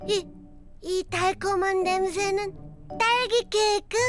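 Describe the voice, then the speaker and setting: Over clear background music, a woman performs a cartoonish character voice at an extremely high pitch and a fairly slow pace. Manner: lazy, sighing, sluggish.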